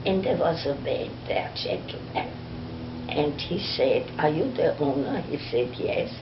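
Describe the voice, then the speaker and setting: Fairly slow speech from a woman amid noticeable background noise. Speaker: storyteller. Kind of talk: personal storytelling. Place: home room.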